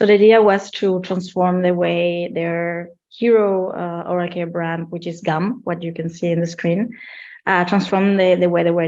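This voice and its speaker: Fairly low in pitch, a woman with a Spanish accent speaks at a moderate pace with fairly even intonation. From Spain. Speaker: marketing executive. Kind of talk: webinar interview.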